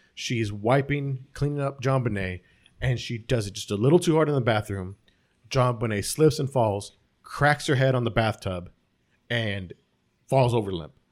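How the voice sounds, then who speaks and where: Recorded very cleanly against a silent background, a man talks at medium pitch and a moderate pace with ordinary pitch variation. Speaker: podcast co-host. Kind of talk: casual chat. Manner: mumbling.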